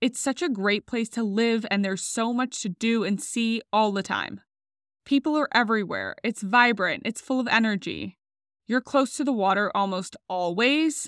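In a normal speaking voice, a woman talks at a moderate pace in a fairly high pitch with ordinary pitch variation, recorded dry and close with no echo, very clean against a silent background. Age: 30s. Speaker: podcast host. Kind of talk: solo podcast monologue.

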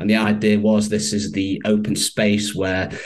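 This man has a Manchester accent and a fairly low pitch. He speaks at a moderate pace. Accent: northern English, Mancunian. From Manchester, northern England. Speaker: copywriter and stoicism advocate. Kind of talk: interview.

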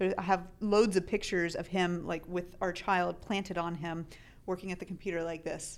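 In an American accent, a woman speaks with flat, monotone intonation at a fairly low pitch. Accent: slight Southern drawl at times. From US South (Tennessee). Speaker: Amazon seller and podcast co-host. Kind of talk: casual chat.

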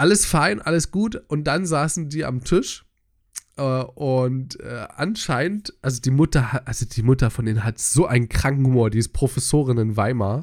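A man with an unremarkable speaking voice talks at a medium pitch and moderate pace with lively intonation. The recording is very clean with a silent background. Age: 20s. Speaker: podcast co-host. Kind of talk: casual chat.

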